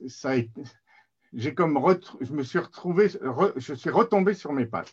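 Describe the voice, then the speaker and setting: Somewhat breathy speech comes at a fairly slow pace with lively intonation. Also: man, fairly high pitch for a man. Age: 60s. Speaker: mental health advocate, recovered patient. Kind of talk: webinar presentation. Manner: halting.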